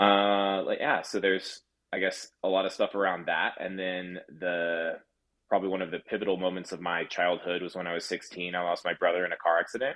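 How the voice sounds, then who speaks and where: This man's pitch is very deep and low, with monotone, flat intonation. He speaks at a fairly quick pace. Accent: American. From US South, mostly Texas. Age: 30s. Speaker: aerospace engineer, podcast guest. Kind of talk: interview, personal story.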